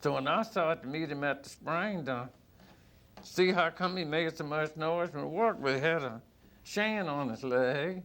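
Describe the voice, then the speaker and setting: A man's fairly high-pitched voice at a moderate pace, with ordinary pitch variation. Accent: Virginia. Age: 60s. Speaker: blues musician. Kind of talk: storytelling interview.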